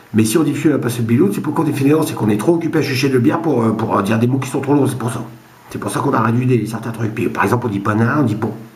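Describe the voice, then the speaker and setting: Over noticeable background noise, a man with a northern French accent talks at a very fast pace, with a medium pitch and ordinary pitch variation. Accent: northern French (Ch'ti) dialect. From Boulogne-sur-Mer, northern France. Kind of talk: casual joke telling to camera. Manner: rambling, hesitant.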